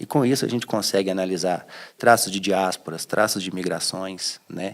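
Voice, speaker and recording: With ordinary pitch variation, an ordinary speaking voice keeps to a moderate pace. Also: man. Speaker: cultural heritage scholar. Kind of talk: interview answer.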